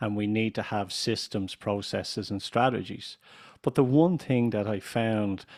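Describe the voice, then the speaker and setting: In an Irish accent, a man talks at a fairly slow pace with a fairly low pitch and ordinary pitch variation. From Ireland. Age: 50s. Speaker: business consultant and radio chairman. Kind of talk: podcast interview. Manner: deliberately slow, clear pronunciation.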